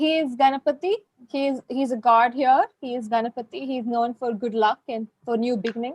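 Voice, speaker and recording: A woman's high voice in an Indian accent, with ordinary pitch variation and a dry, close sound with no echo. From southern India. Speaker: guest speaking about life in India. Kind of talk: casual conversation.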